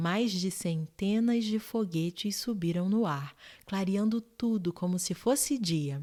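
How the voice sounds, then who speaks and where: Soft-spoken and calm in tone, a woman talks at medium pitch and a fairly slow pace. Her intonation is lively, and the recording is very clean with a silent background. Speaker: bedtime story narrator. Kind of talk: sleep story reading. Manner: soft-spoken, calm.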